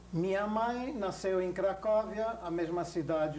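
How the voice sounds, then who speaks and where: With ordinary pitch variation, the voice moves at a very slow pace. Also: man. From Belgium (Antwerp), born in Berlin. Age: 60s. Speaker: Holocaust survivor. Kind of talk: oral history interview. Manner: formal.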